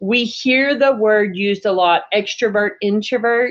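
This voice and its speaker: In an unremarkable speaking voice, a woman talks at a fairly slow pace and medium pitch with ordinary pitch variation. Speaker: business coach. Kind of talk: webinar presentation. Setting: video call.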